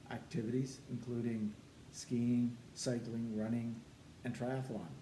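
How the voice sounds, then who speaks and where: Amid noticeable background noise and audible room echo, a man at medium pitch speaks fairly slowly in a monotone, flat intonation. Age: 70s. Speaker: personal trainer and former soldier. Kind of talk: testimony.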